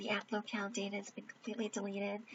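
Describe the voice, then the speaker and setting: A woman speaks with a fairly high pitch. Noticeable background noise can be heard. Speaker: speedrunner. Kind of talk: casual gameplay commentary.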